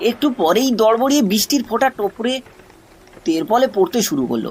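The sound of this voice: The voice has a slightly husky edge and a slightly mellow tone. It moves at a moderate pace with big pitch swings.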